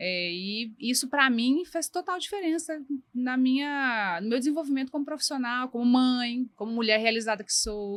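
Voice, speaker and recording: Her intonation lively, a woman speaks at a high pitch and a moderate pace. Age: 40s. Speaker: designer. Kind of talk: interview.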